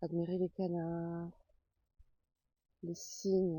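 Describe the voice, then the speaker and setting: A soft-spoken woman talks at a very slow pace. Her voice sits fairly low in pitch and is somewhat breathy. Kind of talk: ASMR walk by a lake, casual talk to camera. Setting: outdoors.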